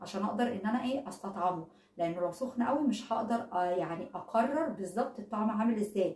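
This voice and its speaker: A woman speaks with an Egyptian accent at a fairly quick pace. Her fairly high pitch shows ordinary variation over noticeable background noise. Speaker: product reviewer vlogger. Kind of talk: casual product review vlog. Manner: conversational, hesitant fillers.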